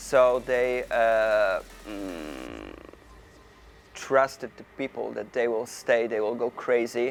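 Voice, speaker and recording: With a Polish accent, a man of medium pitch speaks at a very slow pace over noticeable background noise. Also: ordinary pitch variation. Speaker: hardstyle DJ and producer. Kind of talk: interview. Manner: halting, many fillers.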